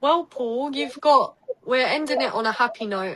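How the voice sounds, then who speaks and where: A woman speaks in a high pitch with lively intonation. She has a British accent and keeps a moderate pace. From Essex, England. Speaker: psychic. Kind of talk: card reading in casual podcast chat.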